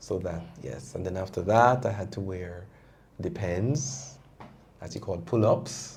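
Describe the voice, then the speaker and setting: A fairly slow pace with audible room echo. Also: man. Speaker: prostate cancer survivor. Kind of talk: testimony. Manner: loud; halting.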